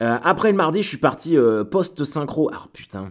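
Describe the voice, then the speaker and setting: The man's pitch swings very widely as he talks fairly slowly. The recording is very clean, and the background is silent. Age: 30s. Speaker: comedian. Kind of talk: casual chat. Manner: halting.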